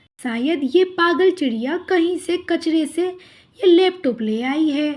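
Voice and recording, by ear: With an extremely high pitch and ordinary pitch variation, a woman does a cartoonish character voice at a fairly slow pace.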